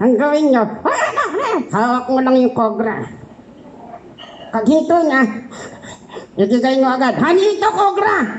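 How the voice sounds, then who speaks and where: In a high-pitched cartoonish character voice, the speaker goes fairly slowly with long, frequent pauses. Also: female-sounding voice. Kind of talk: comedy puppet show.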